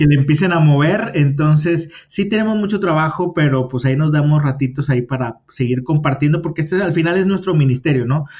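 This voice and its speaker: A man with a fairly high pitch talks while noticeable background noise carries on behind him. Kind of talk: casual interview. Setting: remote call.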